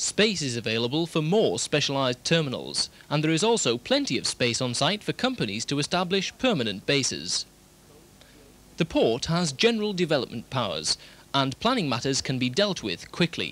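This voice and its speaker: With very wide pitch swings and vocal fry, a man talks at a moderate pace in a dry sound with no echo. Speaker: narrator of a promotional film. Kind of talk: documentary narration.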